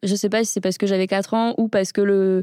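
This woman has an unremarkable speaking voice at a medium pitch, moving at a fairly quick pace with fairly even intonation. The sound is dry and close, with no echo. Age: 30s. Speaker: wheelchair user and startup co-founder. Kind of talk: casual interview. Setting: studio.

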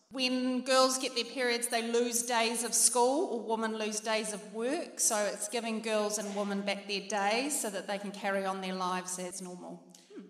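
Against noticeable background noise, a speaker with a New Zealand accent talks at a moderate pace with fairly even intonation and hardly any pauses. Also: woman, fairly high pitch for a woman. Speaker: charity representative. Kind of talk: charity appeal. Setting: stage with audience.

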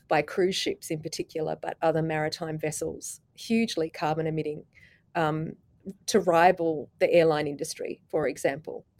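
With an Australian accent, a woman talks at a moderate pace in a very deep, low pitch with fairly even intonation. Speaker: policy lecturer and climate negotiator. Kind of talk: panel discussion.

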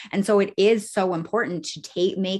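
A woman with an animated tone over a quiet background. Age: 30s. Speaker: author and wellness witch. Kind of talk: casual interview chat. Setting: video call. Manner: animated, excitable.

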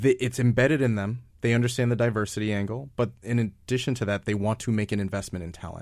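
With an American accent, a man speaks at a fairly quick pace and a medium pitch. His is an unremarkable speaking voice with fairly even intonation. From New York. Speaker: nonprofit founder. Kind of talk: interview. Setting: studio.

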